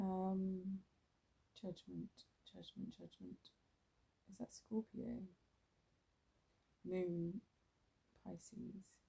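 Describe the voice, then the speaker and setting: The speaker sounds somewhat breathy, with fairly even intonation, a very slow pace and long, frequent pauses. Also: woman, medium pitch for a woman. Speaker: tarot reader. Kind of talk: ASMR tarot reading. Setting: outdoors.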